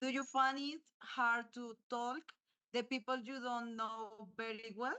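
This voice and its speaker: In a Colombian accent, a woman speaks at a very slow pace with a high pitch and monotone, flat intonation. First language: Spanish. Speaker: university student. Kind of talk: interview. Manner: halting.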